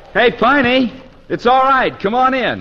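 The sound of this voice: The speaker uses a put-on character voice with big pitch swings. The pace is fairly slow. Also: man, extremely high pitch for a man.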